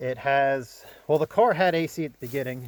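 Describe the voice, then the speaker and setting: A man's fairly high voice with ordinary pitch variation, dry and close with no echo, over noticeable background noise. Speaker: car restoration YouTuber. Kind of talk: casual walkaround chat. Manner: casual, hesitant with fillers.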